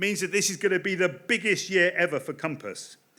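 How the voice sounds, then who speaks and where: Raised and projected, a man's high voice has a bright, sharp tone. He speaks fairly quickly in a very clean recording with a silent background. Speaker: political campaign director. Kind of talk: political speech. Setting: stage with audience. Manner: fast.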